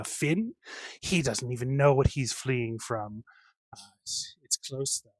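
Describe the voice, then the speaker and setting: Putting on a theatrical character voice, a man speaks at a medium pitch and a fairly slow pace. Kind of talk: circus barker patter. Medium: actual play. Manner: mocking, theatrical.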